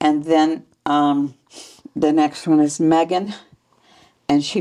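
A woman with an American accent speaks fairly slowly in a very deep, low voice. Her tone is dark and mellow. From Utah, Salt Lake area. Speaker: retired ward member. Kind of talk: interview, life story. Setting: at home.

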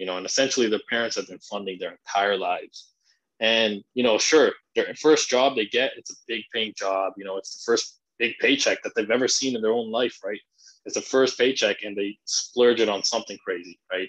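A man's normal speaking voice at medium pitch, with ordinary pitch variation and a moderate pace. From Canada. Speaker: finance content creator. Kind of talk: interview.

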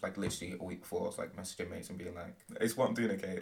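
A man with a British accent at a very fast pace. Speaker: university student and performer. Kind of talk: casual interview.

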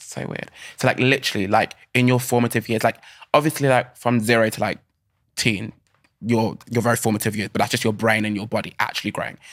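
In a British accent, a man talks very fast at medium pitch, flat and monotone. The recording is very clean with a silent background. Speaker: actor and dancer. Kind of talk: casual interview. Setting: studio.

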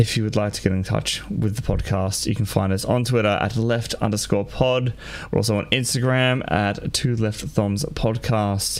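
Over noticeable background noise, a man with an Australian accent speaks at a moderate pace in a fairly low voice with fairly even intonation. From Australia (New South Wales). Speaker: gaming podcast host. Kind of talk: casual chat.

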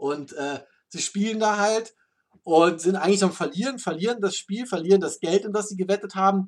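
Talking in a high voice with ordinary pitch variation, a man keeps a moderate pace. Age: adult. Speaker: car podcast host and moderator. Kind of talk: casual chat.

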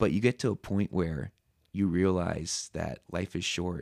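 A man with an American accent speaks in a very deep, low voice with vocal fry and very wide pitch swings, in a very clean recording with a silent background. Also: dry, close sound with no echo. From Southern California. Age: 30s. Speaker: podcast guest, high school teacher. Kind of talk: casual interview chat.

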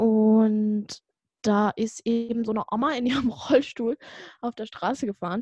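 Recorded dry and close with no echo, a woman speaks at a fairly slow pace in a fairly high pitch, her dark, mellow tone somewhat breathy and her intonation fairly even. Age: young. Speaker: podcast co-host. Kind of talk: casual chat.

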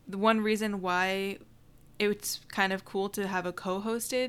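Speaking in a normal speaking voice with an American accent, the voice moves at a moderate pace with fairly even intonation. The recording is very clean, with a silent background. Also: woman. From US, military family moving around. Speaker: podcast co-host. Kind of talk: casual chat.

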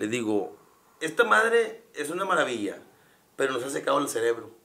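A man talks at a moderate pace. His fairly high pitch moves in very wide swings. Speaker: stand-up comedian. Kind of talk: casual chat.

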